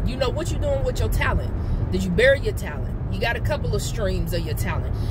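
A woman's voice is heard amid loud background noise. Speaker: life coach. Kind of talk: casual inspirational vlog talk. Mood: earnest, encouraging. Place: car.

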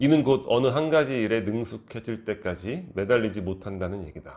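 Speaking at a moderate pace, a man uses a plain, everyday voice of medium pitch with lively intonation. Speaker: book review YouTuber. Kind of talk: book review monologue.

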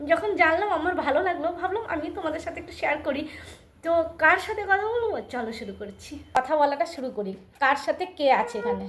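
This woman's voice sits at an extremely high pitch. It moves through very wide pitch swings. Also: big swings in loudness. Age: 60s. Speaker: lifestyle vlogger. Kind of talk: casual vlog talk to camera and chat with voice assistant.

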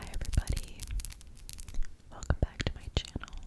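A woman is whispering. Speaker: ASMR creator. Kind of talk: ASMR product show and tell. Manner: whispered; slow. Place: home room. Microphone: studio mic.

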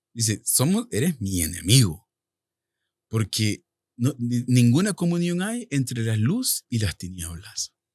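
In a dry recording with no echo and a quiet background, a man speaks very slowly and somewhat breathily, his pitch swinging very widely. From El Salvador. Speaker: author and minister; minister. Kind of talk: testimony. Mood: earnest personal testimony. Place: studio. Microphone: studio mic.

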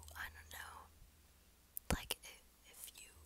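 The woman speaks in a whisper. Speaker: vlogger. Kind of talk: casual talk to camera. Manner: whispered. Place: home room. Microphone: earbuds.

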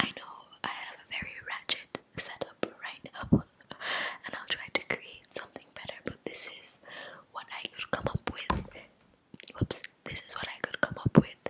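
A woman at a moderate pace with long, frequent pauses, over loud background noise. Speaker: ASMR creator. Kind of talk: casual vlog chat. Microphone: studio mic.

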